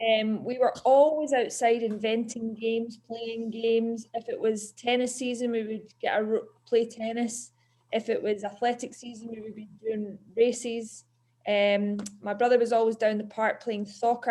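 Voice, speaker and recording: A woman speaks at a moderate pace with a Scottish accent and a fairly high pitch. Her intonation stays flat and monotone while her loudness swings widely. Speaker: PE teacher. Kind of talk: talk to schoolchildren.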